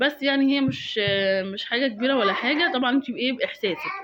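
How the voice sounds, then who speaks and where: This woman's voice is high, with very wide pitch swings. She talks at a fairly quick pace. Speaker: home cooking video maker. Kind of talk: cooking tutorial voiceover. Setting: recorded voiceover at home. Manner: casual, chatty with fillers.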